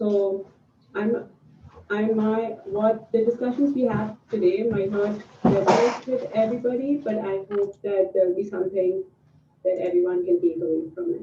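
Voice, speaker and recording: Noticeable background noise behind speech at a moderate pace, its pitch varying in an ordinary way. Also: woman, medium pitch for a woman. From India, Mumbai. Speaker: panelist. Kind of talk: panel discussion. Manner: halting.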